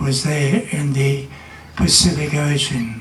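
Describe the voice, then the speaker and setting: Over noticeable background noise, a man with an Australian accent talks in a fairly high voice. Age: 80s+. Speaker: war veteran. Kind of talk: commemorative speech.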